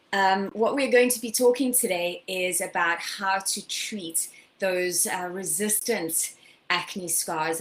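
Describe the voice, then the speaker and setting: A woman speaks with a South African accent at a medium pitch. Her pitch varies in an ordinary way, and her pace is fairly slow. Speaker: skincare educator. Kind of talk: webinar lecture. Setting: live online broadcast.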